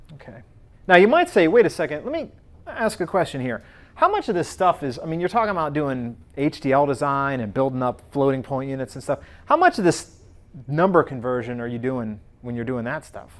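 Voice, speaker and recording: A man speaks in a plain, everyday voice, fairly high in pitch and at a fairly quick pace. His intonation is lively, and his loudness swings widely. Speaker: university professor. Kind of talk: lecture. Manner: casual, many fillers and restarts.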